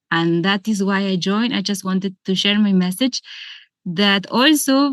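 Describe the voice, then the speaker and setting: A woman with a strong Spanish accent talks at a fairly slow pace, her medium pitch showing ordinary pitch variation, in a dry, close sound with no echo against a quiet background. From Argentina. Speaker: yoga and meditation teacher. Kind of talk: seminar talk. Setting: video call.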